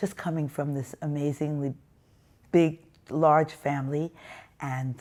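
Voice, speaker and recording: A woman with an American accent and a very deep, low pitch, in a monotone, flat intonation at a fairly slow pace with long, frequent pauses, on a very clean recording with a silent background. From US Northeast, Brooklyn, New York. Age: 70s. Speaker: interviewee sharing life story. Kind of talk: testimony.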